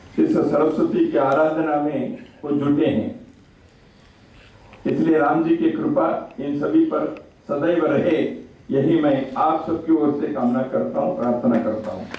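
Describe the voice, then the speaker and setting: Long, frequent pauses mark this man's speech. Noticeable background noise and audible room echo fill the recording. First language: Kannada (speaking Hindi). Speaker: chief guest speaker at book launch. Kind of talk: formal speech at book launch. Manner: formal.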